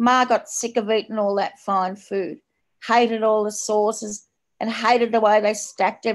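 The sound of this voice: Set against a quiet background, the clip carries an unforced reading voice.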